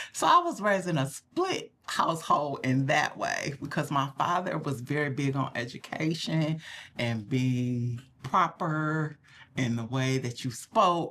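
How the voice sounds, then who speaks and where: With an American accent, a woman speaks at a fairly slow pace in a very deep, low pitch and ordinary pitch variation. Her tone is bright and sharp, and the recording is very clean with a silent background. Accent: Southern dialect, stronger when relaxed. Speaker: podcast co-host. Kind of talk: casual chat.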